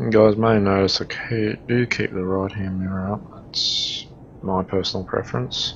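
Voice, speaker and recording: With an Australian accent, a man speaks at a fairly low pitch and a moderate pace. His pitch varies in an ordinary way, and background noise is noticeable. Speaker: gaming streamer. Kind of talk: gameplay commentary. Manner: casual, conversational.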